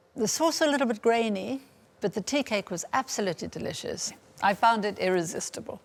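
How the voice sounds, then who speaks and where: A woman's lively, bouncy intonation over music in the background. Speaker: cooking competition judge. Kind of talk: judge's critique.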